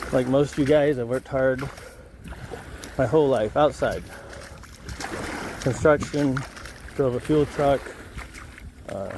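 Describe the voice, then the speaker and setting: With an American accent, a man speaks at a fairly slow pace in a monotone, flat voice with long, frequent pauses over noticeable background noise. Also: fairly high pitch for a man. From United States. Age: 60s. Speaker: expat vlogger. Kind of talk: walk and talk vlog. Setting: outdoors on a beach. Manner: casual, relaxed.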